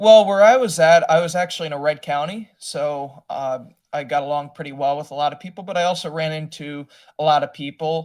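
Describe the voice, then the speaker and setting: A man with an American accent uses an ordinary speaking voice, fairly high in pitch with ordinary pitch variation and big swings in loudness, at a fairly quick pace on a very clean recording with a silent background. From US Midwest (Wisconsin, Milwaukee area). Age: 20s. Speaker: political candidate. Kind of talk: interview.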